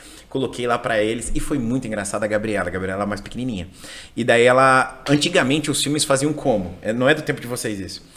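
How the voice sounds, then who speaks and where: A man speaks at a very fast pace in an animated tone. His pitch variation is ordinary. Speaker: English teacher. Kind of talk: casual chat.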